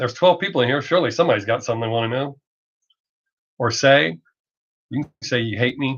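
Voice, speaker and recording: A man speaks at a fairly quick pace with a strong Southern US accent, a fairly high pitch and lively intonation. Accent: heavy Southern US. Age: 50s. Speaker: streamer. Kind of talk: casual chat. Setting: live stream. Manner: fast.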